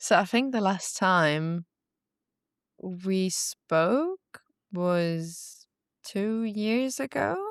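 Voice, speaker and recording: A woman with a non-native accent speaks very slowly at a medium pitch, with lively intonation and long, frequent pauses. The recording is very clean with a silent background and a dry, close sound with no echo. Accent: non-native English, now fluent. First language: not English. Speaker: former content creator. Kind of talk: casual interview chat.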